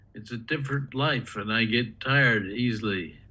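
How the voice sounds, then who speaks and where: A man's medium-pitched voice, bright and sharp in tone, at a fairly slow pace with ordinary pitch variation and audible room echo. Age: 80s+. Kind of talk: reading aloud.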